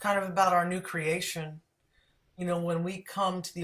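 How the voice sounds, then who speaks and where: A woman speaks in a normal speaking voice, fairly low in pitch, at a moderate pace with fairly even intonation. The recording is very clean, with a silent background. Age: 60s. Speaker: host of a live music show. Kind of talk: casual interview chat.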